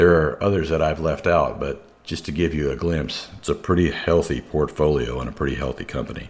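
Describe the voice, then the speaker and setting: A man speaks at a fairly quick pace, his pitch very deep and low. There's vocal fry, and his pitch varies in an ordinary way. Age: 60s. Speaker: corporate safety director and radio show host. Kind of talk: prepared talk on a radio show.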